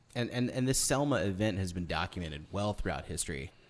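A man speaks with lively intonation. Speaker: podcast host. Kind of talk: casual interview chat. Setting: studio.

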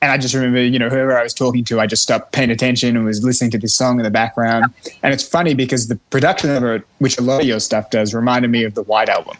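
A man speaks at a very fast pace with hardly any pauses. His pitch is medium and his intonation fairly even. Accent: Australian. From Australia. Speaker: singer-songwriter and guitarist. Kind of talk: casual interview chat.

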